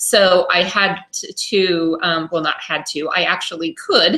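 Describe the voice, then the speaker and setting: A woman is speaking. She has an unremarkable speaking voice. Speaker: home party consultant. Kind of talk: tutorial. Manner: casual, many fillers.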